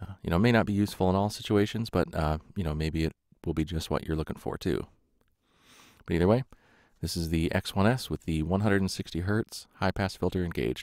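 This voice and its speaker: A man's very deep, low, rumbling voice at a very fast pace, dry and close with no echo, on a very clean recording with a silent background. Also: ordinary pitch variation. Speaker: microphone reviewer. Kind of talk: tutorial. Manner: halting, many fillers.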